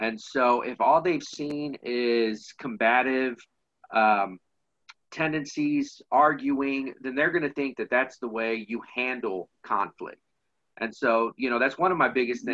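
A man with an American accent, an ordinary speaking voice, medium pitch and a moderate pace. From Kansas City, US Midwest. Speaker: youth nonprofit director. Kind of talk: interview.

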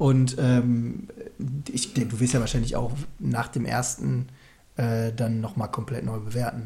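At a very slow pace with long, frequent pauses, a man speaks at medium pitch with fairly even intonation. His tone is dark and mellow and somewhat breathy. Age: 20s. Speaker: podcast co-host. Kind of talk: casual chat.

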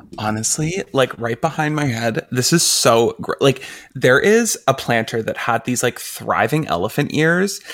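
A normal speaking voice from a man, medium in pitch, fairly slow, with lively intonation. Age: 30s. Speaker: podcast co-host. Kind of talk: casual chat.

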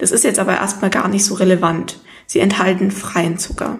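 In a room with audible echo, a woman speaks at medium pitch. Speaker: nutrition podcast host. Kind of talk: solo educational talk. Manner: less enthusiastic than usual.

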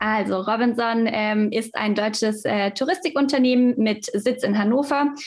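This woman's voice is fairly high and somewhat breathy, with ordinary pitch variation. She keeps a moderate pace and very even loudness. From Stuttgart, southwest Germany. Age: 20s. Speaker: fitness manager at a holiday club company. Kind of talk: podcast interview.

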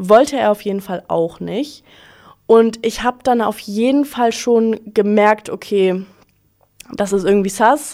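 A woman speaks with a fairly high pitch at a fairly slow pace. Her pitch varies in an ordinary way. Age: 20s. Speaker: podcast host, student. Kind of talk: casual storytelling monologue. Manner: animated.

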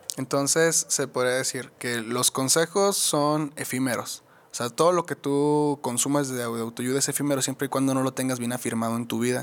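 On a very clean recording with a silent background, a man speaks in a plain, everyday voice at medium pitch and moderate pace, with fairly even intonation and hardly any pauses. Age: 20s. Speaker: podcast co-host. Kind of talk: casual chat.

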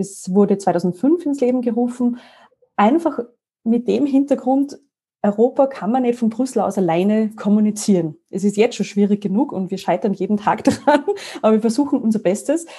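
A woman speaks with a fairly high pitch and a dark, mellow, somewhat breathy tone. Her intonation is lively and her pace moderate. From Austria, Salzburg mountains. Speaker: EU information network staff. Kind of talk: interview. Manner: animated.

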